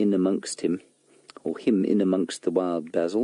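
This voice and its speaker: Quiet and at a moderate pace, a man speaks in a very deep, low pitch with a dark, mellow tone and flat, monotone intonation. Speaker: safari guide. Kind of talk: live commentary. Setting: outdoors.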